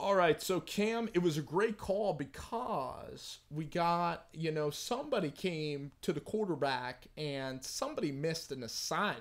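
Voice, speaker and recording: A man talks at a fairly slow pace. His tone is animated, and his intonation is lively. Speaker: sports streamer. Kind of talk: live game reaction stream. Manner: loud.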